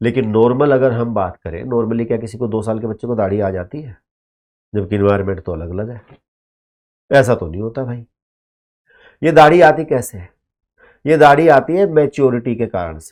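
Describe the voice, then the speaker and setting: Against a quiet background, the speaker moves at a moderate pace with lively intonation, big swings in loudness, and long, frequent pauses. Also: man, medium pitch for a man. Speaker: teacher. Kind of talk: lecture. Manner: animated.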